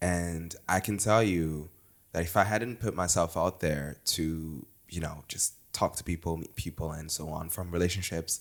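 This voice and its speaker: A man speaks with a very deep, low pitch and fairly even intonation. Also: moderate pace, very clean recording, silent background. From Portugal / Luxembourg. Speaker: account manager and content creator. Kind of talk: casual interview chat.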